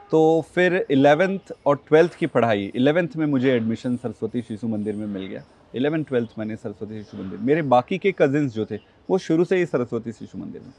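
A man at a moderate pace, big swings in loudness, dry sound with no echo. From India, Chhattisgarh (village near Bilaspur); Chhattisgarh, India. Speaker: politician; interview guest, politician. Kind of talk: interview; interview answer. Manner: hesitant, frequent filler sounds. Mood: calm, reflective. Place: garden.

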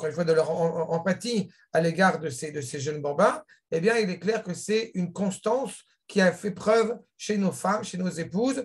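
At a moderate pace, a high-pitched man speaks with ordinary pitch variation over a quiet background. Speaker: religious teacher. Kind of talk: lecture. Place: home room. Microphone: webcam.

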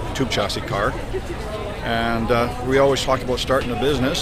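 A man speaks very fast in a dry sound with no echo, with loud background noise behind him. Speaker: automotive service technician. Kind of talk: interview answer. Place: street. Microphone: phone near.

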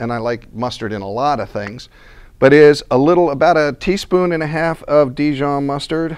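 Moderate pace and ordinary pitch variation from a man. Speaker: cooking demonstrator. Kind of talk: tutorial. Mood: relaxed, friendly. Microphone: lapel.

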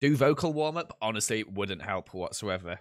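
This man has an English accent. His intonation is lively. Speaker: gaming streamer. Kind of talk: live gaming chat. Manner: casual, chatty.

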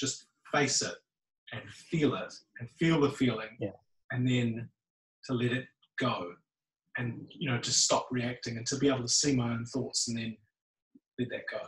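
Against a quiet background with audible room echo, a man speaks in a somewhat breathy voice with fairly even intonation and long, frequent pauses. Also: moderate pace. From New Zealand, Lower Hutt. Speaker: meditation group member. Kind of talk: casual chat. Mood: reflective, personal. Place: hall.

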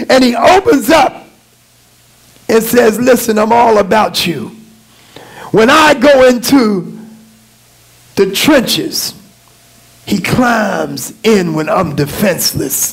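A man speaks at a very slow pace with long, frequent pauses. His pitch swings very widely. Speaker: pastor. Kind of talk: sermon. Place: church. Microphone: headset.

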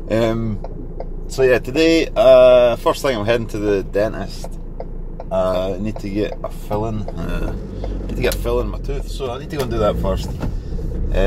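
Loud background noise under a man's dry voice with no echo. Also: moderate pace. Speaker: small business owner vlogger. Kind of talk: casual vlog chat. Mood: relaxed and cheerful. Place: car. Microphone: phone near.

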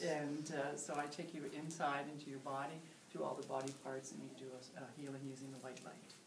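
A woman speaks at a fairly quick pace in a very deep, low voice, her intonation monotone and flat, with noticeable background noise behind her. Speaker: meditation teacher. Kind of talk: interview answer. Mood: warm, calm, friendly. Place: home room. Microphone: camera far.

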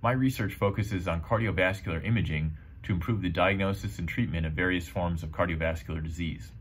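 Very deep and low, this man's voice is somewhat breathy. He talks at a very fast pace with ordinary pitch variation. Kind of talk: advocacy statement. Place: office. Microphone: webcam.

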